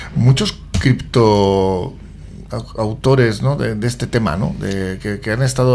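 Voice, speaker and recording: A man with a fairly low-pitched voice talks as noticeable background noise carries on. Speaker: radio host. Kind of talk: radio interview. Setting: studio.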